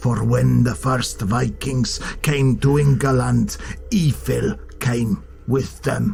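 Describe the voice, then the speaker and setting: Over clear music in the background, a man in a put-on character voice speaks at a very slow pace with very even loudness. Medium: read story. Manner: low, threatening, dramatic.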